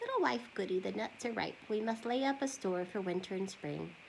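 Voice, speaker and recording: A woman in a put-on character voice, medium in pitch, at a fairly quick pace over clear background noise. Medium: read story.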